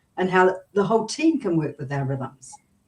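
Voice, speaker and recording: This woman's voice sits at a medium pitch, with a dark, mellow tone. She speaks in a New Zealand accent. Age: 70s. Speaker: business coach. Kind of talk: interview.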